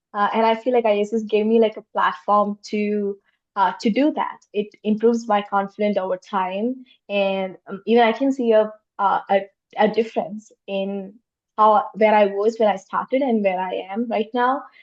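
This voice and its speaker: Speaking at a moderate pace with a non-native accent, a woman uses a fairly high pitch and fairly even intonation. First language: not English. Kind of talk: panel discussion. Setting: virtual roundtable.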